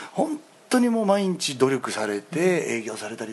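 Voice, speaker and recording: Over noticeable background noise, a man with a fairly high pitch swings through a very wide pitch range. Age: 30s. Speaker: stage actor. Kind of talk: casual chat. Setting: restaurant.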